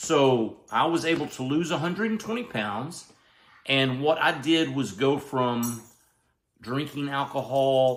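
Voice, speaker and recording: A man speaks with a Southern US accent. His fairly high voice has lively intonation. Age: 60s. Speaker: health and weight-loss vlogger. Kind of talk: casual vlog monologue.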